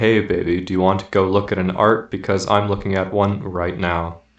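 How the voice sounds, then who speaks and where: A man uses a put-on, robotic character voice with a very deep, low pitch. His monotone, flat intonation moves at a moderate pace. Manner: robotic, emotionless.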